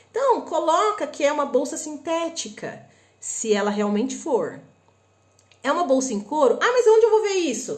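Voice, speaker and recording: A woman's high voice with very wide pitch swings and a northern Paraná accent, at a moderate pace, with audible room echo. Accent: northern Paraná Brazilian. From northern Paraná, Brazil (Londrina). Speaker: online shopping and import tips presenter. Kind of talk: live stream tutorial. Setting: live stream on Instagram and YouTube. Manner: casual, conversational.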